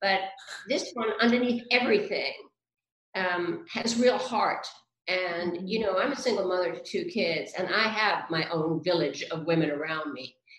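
A woman with a medium pitch talks at a moderate pace with lively intonation. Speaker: actress. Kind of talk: casual video interview. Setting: video call.

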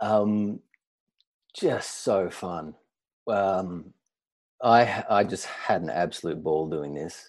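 In an Australian accent, a man speaks in a fairly low, dark, mellow voice with ordinary pitch variation. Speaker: actor. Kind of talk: casual chat.

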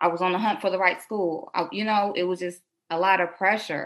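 A woman with an American accent and a plain, everyday voice speaks at a moderate pace and medium pitch, with ordinary pitch variation. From Detroit, Michigan (born South Carolina). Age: 20s. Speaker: nail business entrepreneur. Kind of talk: casual interview. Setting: remote call.

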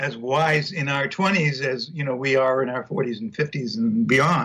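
A man talks in a normal speaking voice, pitched fairly high. His pace is fairly slow. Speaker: married couple counselor. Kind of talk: casual interview.

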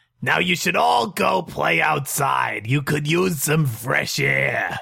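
A man puts on a character voice at a fairly high pitch, speaking at a fairly slow pace. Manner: echoing.

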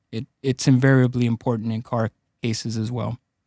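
A man speaks in a dark, mellow tone with monotone, flat intonation. The recording is very clean with a silent background, dry and close with no echo. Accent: Spanish. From Los Angeles, Mexican immigrant family. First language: Spanish. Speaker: personal injury attorney. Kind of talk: casual interview. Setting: studio.

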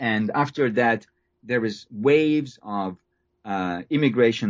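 Someone with a Hungarian accent speaks at a fairly slow pace with ordinary pitch variation. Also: man. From Hungary. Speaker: history professor. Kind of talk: interview. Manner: halting.

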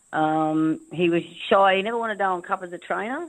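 A woman talks at a moderate pace with an Australian accent. Her pitch is fairly low, and the background is quiet. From Northern Territory, Australia. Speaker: racehorse trainer and former jockey. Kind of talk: casual interview.

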